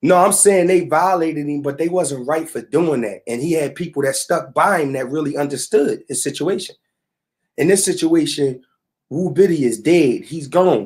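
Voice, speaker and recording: An animated man's fairly high voice at a moderate pace, with ordinary pitch variation. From Philadelphia, North Philly. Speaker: online talk show host. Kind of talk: casual commentary rant.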